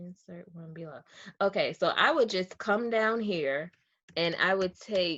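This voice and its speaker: With a Southern US accent, a woman is talking. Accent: Southern US, drops R's. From US South. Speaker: real estate wholesaler; real estate data tutor. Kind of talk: tutorial. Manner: casual, conversational with fillers. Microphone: webcam.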